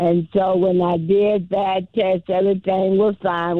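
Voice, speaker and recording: Music plays in the background while someone talks at a fairly slow speed. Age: 80s+. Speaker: caller. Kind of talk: call-in radio talk.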